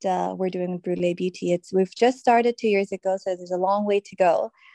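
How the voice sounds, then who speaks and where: Recorded dry and close with no echo against a quiet background, a woman speaks with an American accent. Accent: international, between British and American. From Dubai. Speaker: guest speaking on colourism. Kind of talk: casual interview chat. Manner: hesitant, many fillers.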